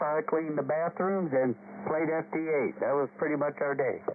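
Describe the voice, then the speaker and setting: There is noticeable background noise behind this man's speech. He talks at a moderate pace and a fairly high pitch with an American accent. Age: 70s. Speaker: retired auto industry manager. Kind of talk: casual chat. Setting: radio net.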